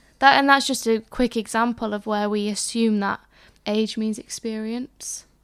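A woman speaks in a fairly high pitch. Her intonation is monotone and flat. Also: moderate pace, very clean recording, silent background. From England. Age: 20s. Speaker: podcast co-host, young church leader. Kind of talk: casual chat. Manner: hesitant, many fillers.

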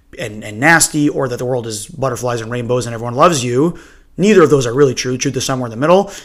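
This man's voice is medium in pitch. He speaks at a very fast pace. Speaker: podcast host. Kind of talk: solo podcast monologue. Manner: casual, rambling.

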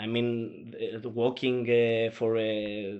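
A man's medium-pitched voice with a Greek accent, flat and monotone in intonation. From Greece. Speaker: journalist. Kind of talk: interview. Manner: halting, many fillers.

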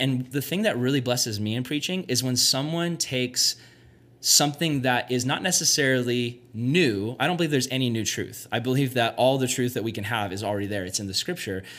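A man talks in an ordinary speaking voice at medium pitch with ordinary pitch variation. He keeps a fairly quick pace on a very clean recording with a silent background. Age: 20s. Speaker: youth pastor. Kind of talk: casual chat. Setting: youth retreat.

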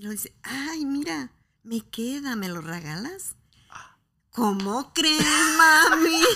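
Speaking at a very slow pace, a woman with a high pitch makes very wide pitch swings and big swings in loudness. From Mexico, Guadalajara. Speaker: mother of the host. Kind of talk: interview.

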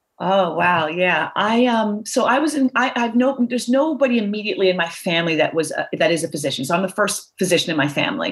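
A woman with an American accent talks at a very fast pace with hardly any pauses, at medium pitch and with very wide pitch swings. Her loudness stays very even, and noticeable background noise is present. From Philadelphia suburbs. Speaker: orthopedic surgeon. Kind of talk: interview. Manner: halting.

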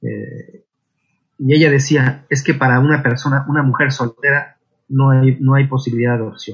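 A man speaks at a moderate pace in a medium pitch, his voice somewhat breathy and his intonation fairly even. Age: 40s. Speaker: intended father in surrogacy. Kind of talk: interview testimony.

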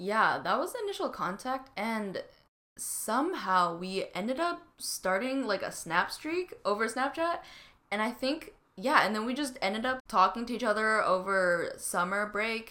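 A woman with a Canadian accent, fairly high in pitch and bright, sharp in tone, her pitch swinging very widely at a fairly slow pace. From Canada, Vancouver BC. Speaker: student podcast co-host. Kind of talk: casual chat.

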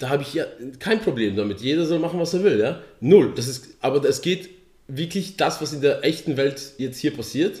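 A somewhat breathy man with a fairly high pitch speaks at a moderate pace with lively intonation. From Poland. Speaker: podcast co-host. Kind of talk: casual chat.

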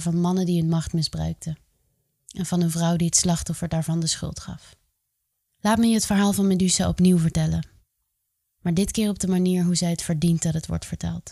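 On a very clean recording with a silent background, a woman speaks at a fairly quick pace and fairly low pitch, her monotone, flat delivery carrying a dark, mellow tone, a dramatic, serious tone and a somewhat breathy quality. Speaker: podcast host. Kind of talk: mythic storytelling narration, solemn retelling of a Greek myth. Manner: measured, dramatic and serious, with a vivid storyteller's cadence.

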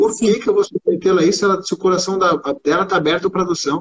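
The man talks very quickly, his pitch varying in an ordinary way. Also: dry, close sound with no echo. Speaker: gynecologist. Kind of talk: interview. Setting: live video stream.

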